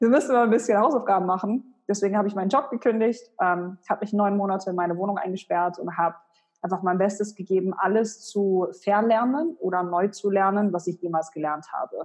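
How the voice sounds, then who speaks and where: Using an ordinary speaking voice, a woman talks at medium pitch and a fairly quick pace with ordinary pitch variation. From Germany, Hannover. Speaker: personal branding expert and author. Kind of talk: interview.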